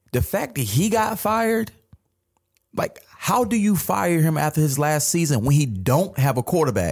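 A man with an American accent, fairly high in pitch and somewhat breathy, at a moderate pace with very wide pitch swings and very even loudness. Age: 30s. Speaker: sports podcast co-host, former player and coach. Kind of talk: casual chat.

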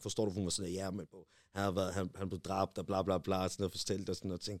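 In a very clean recording with a silent background, a man's very deep, low voice comes through with a dry, close sound with no echo. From Denmark. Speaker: rapper. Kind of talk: casual chat.

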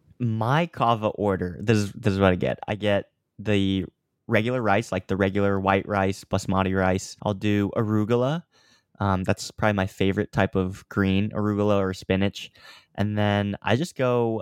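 A man with an American accent speaks at a moderate pace in an ordinary speaking voice, his pitch fairly low and his intonation fairly even, with very even loudness in a very clean recording against a silent background, the sound dry and close with no echo. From US Midwest, Kansas (Overland Park). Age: 20s. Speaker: online health coach and content creator. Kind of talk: casual chat.

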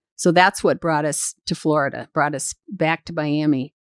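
This is a plain, everyday voice from a woman at a moderate pace with ordinary pitch variation. The recording is very clean with a silent background, and the sound is dry and close with no echo. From US Midwest (Michigan). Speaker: podcast host's mother. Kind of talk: interview, life story.

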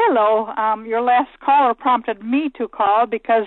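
A woman speaks in a normal speaking voice at a fairly high pitch. Her pitch varies in an ordinary way. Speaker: caller. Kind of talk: phone-in question. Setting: phone call.

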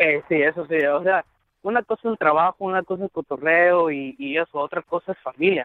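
A man talks at a fairly quick pace in a high pitch. His pitch varies in an ordinary way. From Guatemala. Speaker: caller. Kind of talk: call-in conversation.

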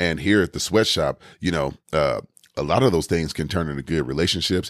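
At a fairly quick pace, a man with a very deep, low pitch and vocal fry speaks in an animated tone with ordinary pitch variation, on a very clean, dry, close recording with a silent background and no echo. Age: 40s. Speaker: fitness podcaster. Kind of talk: motivational monologue.

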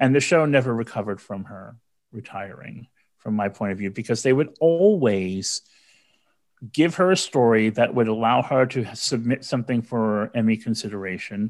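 Someone with a plain, everyday voice and an American accent speaks at a moderate pace with ordinary pitch variation and big swings in loudness, over a quiet background. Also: man, medium pitch for a man. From New York City, the Bronx. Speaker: radio host. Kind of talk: casual chat.

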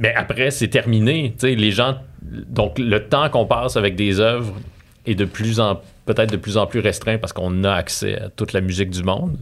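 A man talks at a moderate pace in a Quebec accent. His pitch is fairly low and varies in an ordinary way. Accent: Québécois French. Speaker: cultural journalist. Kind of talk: casual interview. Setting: studio.

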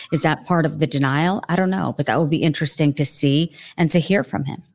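A woman's very deep, low voice with vocal fry and an American accent, ordinary pitch variation, a very fast pace, and a very clean recording over a silent background. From New Jersey. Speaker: journalist, podcast guest.

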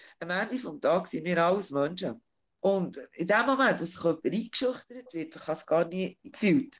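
An unremarkable speaking voice moves at a moderate pace on a very clean recording with a silent background. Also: woman. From Switzerland, Bern region. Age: 40s. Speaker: interview guest. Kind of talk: interview.

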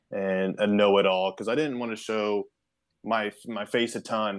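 Using an ordinary speaking voice, a man with a fairly low pitch talks at a moderate pace with fairly even intonation. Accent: American. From Kansas, US Midwest. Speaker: pitching coach. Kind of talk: podcast interview.

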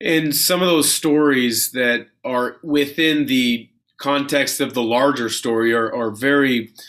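This is a very clean recording with a silent background, featuring a man in an ordinary speaking voice at fairly high pitch. He talks at a fairly slow pace with fairly even intonation and very even loudness. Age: 40s. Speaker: basketball podcast host, former college player. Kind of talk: interview.

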